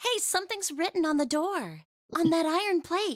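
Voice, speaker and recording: In a squeaky put-on character voice, a woman speaks at an extremely high pitch and a moderate pace, her loudness very even. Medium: video game. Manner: excitable, hot-tempered.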